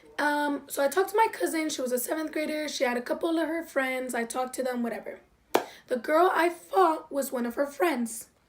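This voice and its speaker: The speaker moves at a fairly quick pace with lively intonation while noticeable background noise runs underneath. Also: woman, high pitch for a woman. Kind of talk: casual story time to camera.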